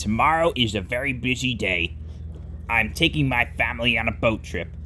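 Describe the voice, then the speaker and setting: A man puts on a character voice at medium pitch and moderate pace. Clear background noise can be heard. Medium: read story. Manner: authoritative.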